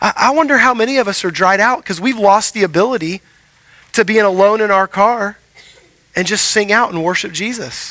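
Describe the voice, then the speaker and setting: A man with an American accent projects a raised voice at a high pitch. His tone is bright and sharp, and his pace is fairly quick. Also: ordinary pitch variation. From Houston, Texas. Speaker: pastor. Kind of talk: sermon. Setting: church.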